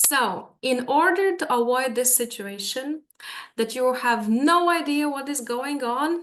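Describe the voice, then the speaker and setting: A woman's high-pitched voice at a very slow pace, with a Latvian accent. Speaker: language teacher. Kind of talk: webinar presentation. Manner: hesitant, many fillers.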